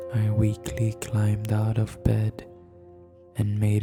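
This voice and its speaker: Very slow whispering with music in the background. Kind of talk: horror story narration. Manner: whispered.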